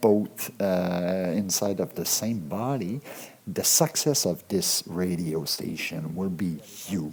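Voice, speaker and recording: A man speaks very slowly with a French accent. His very deep, low voice has a dark, mellow tone. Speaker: radio show host. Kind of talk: casual comedic monologue. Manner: halting, repetitive.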